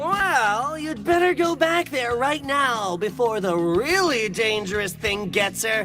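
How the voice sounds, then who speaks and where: A man does a cartoonish character voice at an extremely high pitch with a theatrical tone. He speaks at a fairly slow pace over clear background noise. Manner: brash, bossy, theatrical.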